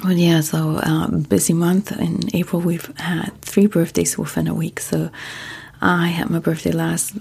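In a German accent, a calm tone comes through at a moderate pace over noticeable background noise. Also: woman. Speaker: sleep podcast host. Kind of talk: casual monologue; reading aloud.

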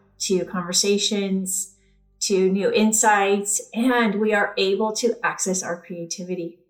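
With music in the background, a woman speaks fairly slowly at a medium pitch and with fairly even intonation. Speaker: podcast host and therapist. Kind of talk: guided meditation, box-breathing exercise. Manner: slow, calm, soothing, evenly paced counting with long pauses; gentle, warm, reassuring.

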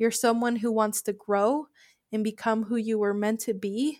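Someone speaks at a moderate pace in a plain, everyday voice with fairly even intonation. The recording is very clean with a silent background, and the sound is dry and close with no echo. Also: woman. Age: 20s. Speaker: podcast host and life coach. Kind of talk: motivational monologue.

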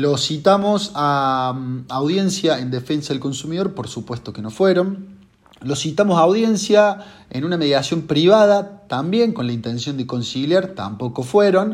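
Lively intonation in a man's fairly high-pitched voice. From Argentina, Córdoba. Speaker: consumer-law lawyer. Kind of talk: monologue presentation of a legal case. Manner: hesitant with filler words.

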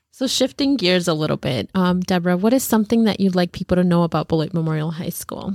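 A woman's fairly low voice at a very fast pace with hardly any pauses, very cleanly recorded against a silent background, dry and close with no echo. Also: ordinary pitch variation. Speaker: podcast co-host. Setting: studio.

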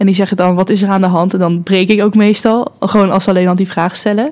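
Her tone is dark and mellow, her pitch medium. The woman keeps a fairly quick pace with fairly even intonation. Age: 20s. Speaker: student and social media manager. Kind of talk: casual chat.

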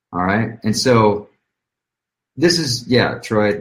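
In an American accent, a man talks fairly slowly in a somewhat breathy voice, pitched fairly low with ordinary pitch variation. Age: 30s. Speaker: online marketing coach. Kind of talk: motivational talk. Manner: animated.

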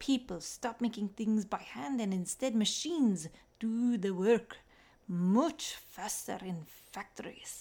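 Ordinary pitch variation shapes an unforced reading voice.

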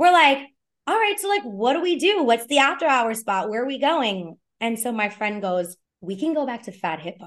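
Pitch swings very wide in this voice, delivered with a New York accent. The pace is moderate. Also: woman, high pitch for a woman. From New York City, Lower East Side of Manhattan. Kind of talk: storytelling interview.

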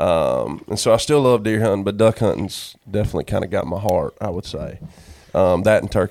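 A man with a North Carolina accent, talking at a fairly quick pace. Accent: US Southern, North Carolina. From North Carolina, Sanford. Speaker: songwriter. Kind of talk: casual chat.

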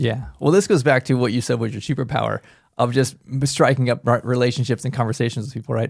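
This very clean recording has a silent background. A man talks very fast at a medium pitch with ordinary pitch variation. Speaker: podcast co-host, assisted living owner, triathlete. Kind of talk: casual chat.

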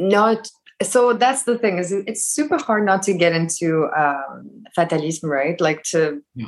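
A woman's normal speaking voice, fairly low in pitch, at a fairly slow pace with lively intonation. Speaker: course participant. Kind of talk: casual Q&A. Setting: video call.

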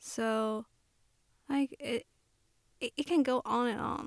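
Soft-spoken and with fairly even intonation, a woman talks in a Chinese accent, recorded dry and close with no echo. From China, Shanghai. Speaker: photographer. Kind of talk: interview. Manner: halting.

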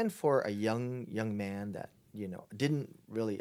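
In a very clean recording with a silent background, a man talks at a moderate pace in a fairly low voice with ordinary pitch variation. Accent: Hawaiian. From Hawaii, Honolulu. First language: Chinese. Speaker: pastor. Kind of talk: casual interview.

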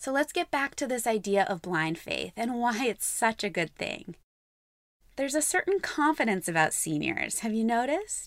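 In a dry, close sound with no echo, a woman speaks at a moderate pace with a fairly high pitch, very wide pitch swings and vocal fry. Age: 30s. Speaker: podcast host, marketing expert. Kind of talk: podcast monologue.

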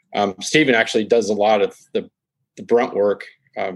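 An unremarkable speaking voice from a man at medium pitch and a moderate pace. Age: 50s. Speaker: automotive photographer and magazine founder. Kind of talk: interview.

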